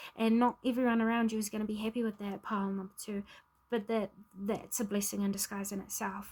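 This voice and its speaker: A woman's fairly high, somewhat breathy voice at a fairly quick pace, with monotone, flat intonation. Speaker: tarot reader. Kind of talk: spiritual card reading to camera.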